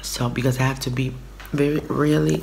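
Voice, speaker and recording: Over noticeable background noise, a woman speaks at a fairly slow pace in a very deep, low pitch. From Brooklyn, New York. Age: 30s. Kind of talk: casual talk to camera. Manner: chatty, rambling.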